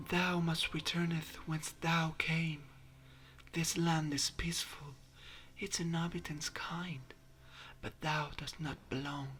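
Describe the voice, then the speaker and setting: In a put-on character voice, a man speaks softly and breathily at a fairly high pitch, in a flat monotone at a fairly slow pace with long, frequent pauses. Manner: slow, soft, ethereal.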